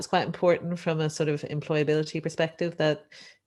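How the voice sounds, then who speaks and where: In an Irish accent, a woman with a very deep, low pitch speaks at a moderate pace. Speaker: economics lecturer, session chair. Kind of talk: panel discussion, webinar. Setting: Zoom webinar live-streamed.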